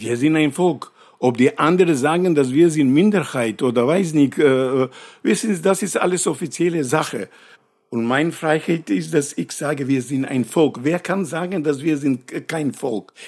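A man with a normal speaking voice, fairly high in pitch, with ordinary pitch variation and a fairly slow pace on a very clean recording with a silent background. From North Macedonia. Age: 60s. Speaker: actor and poet. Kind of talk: interview. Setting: at his home.

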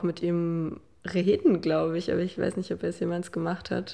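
A woman speaks with a fairly low pitch. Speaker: daughter of the doctor. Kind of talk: interview testimony.

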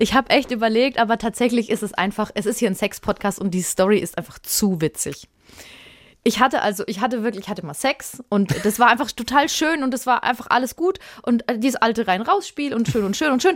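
Here is a woman with a plain, everyday voice, fairly high in pitch and lively in intonation. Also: fairly quick pace. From Germany, Würzburg (Lower Franconia). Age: 30s. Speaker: podcast co-host. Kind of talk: casual chat.

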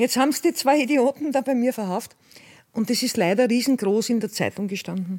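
Fairly high in pitch with ordinary pitch variation, a woman talks in an unremarkable speaking voice. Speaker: former drug dealer. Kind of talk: testimony.

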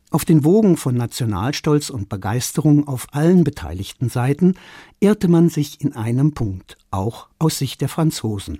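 The speaker goes at a fairly slow pace on a very clean recording with a silent background. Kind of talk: scripted narration. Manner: formal, measured.

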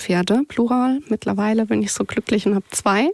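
With a dry, close sound with no echo, a woman has a normal speaking voice, fairly high pitch and fairly even intonation. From southwestern Germany, near Heidelberg. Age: 30s. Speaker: insurance claims worker. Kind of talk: podcast interview, personal life story.

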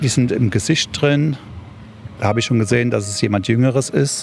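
With noticeable background noise behind him, a man of medium pitch talks at a moderate pace, using ordinary pitch variation and long, frequent pauses. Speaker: volunteer firefighter. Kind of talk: interview. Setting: outdoors.

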